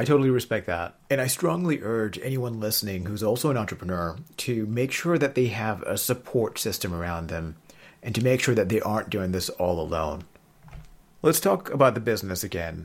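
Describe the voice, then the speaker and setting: Using a normal speaking voice, a man talks at a fairly quick pace and a fairly low pitch with lively intonation. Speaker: podcast host and accelerator director. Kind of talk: interview, hosting.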